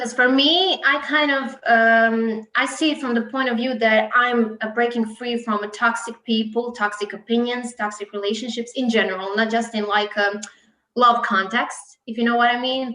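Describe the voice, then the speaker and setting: At a moderate pace, a woman with a Croatian accent speaks in a fairly high pitch with fairly even intonation. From Croatia, Split. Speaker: singer. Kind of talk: interview. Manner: hesitant, many fillers.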